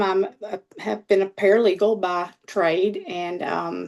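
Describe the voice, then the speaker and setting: Speaking at a very slow pace, a woman talks with a Southern US accent. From US South, Mississippi. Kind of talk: personal testimony. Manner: hesitant, many fillers.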